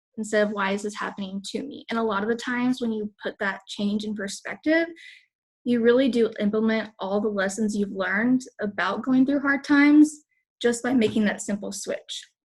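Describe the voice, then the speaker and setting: The speaker has an American accent and keeps a moderate pace. The voice sounds somewhat breathy. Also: woman, fairly high pitch for a woman, ordinary pitch variation. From Texas. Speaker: fitness coach. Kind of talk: motivational talk.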